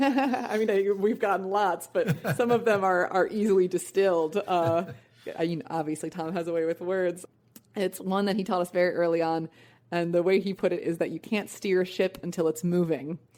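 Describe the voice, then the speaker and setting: A woman of medium pitch and ordinary pitch variation, a plain, everyday voice. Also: moderate pace. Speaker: songwriter in a band. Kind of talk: interview answer.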